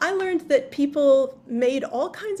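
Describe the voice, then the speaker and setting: A woman with an American accent speaks at a fairly slow pace, with ordinary pitch variation. Noticeable background noise runs under her voice. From US South, Memphis, Tennessee. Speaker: author. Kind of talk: interview. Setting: video call.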